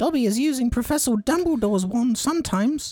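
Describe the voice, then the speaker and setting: Someone puts on a character voice with a fairly high pitch, talking at a very fast pace. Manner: guilty, admitting.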